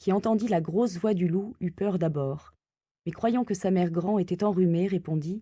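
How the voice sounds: Nothing much stirs in the background. A natural reading voice rises and falls with ordinary pitch variation.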